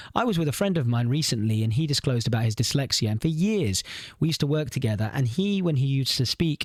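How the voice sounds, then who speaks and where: A man with a fairly high voice talks at a very fast pace with lively intonation. He sounds somewhat breathy, and his loudness stays very even. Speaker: podcast co-host. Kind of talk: casual chat.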